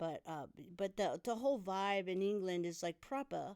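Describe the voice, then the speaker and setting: A woman speaks at a moderate pace and medium pitch, with lively intonation and an animated tone. The recording is very clean, with a silent background and a dry, close sound with no echo. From California. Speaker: punk guitarist. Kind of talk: casual chat. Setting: in-person studio.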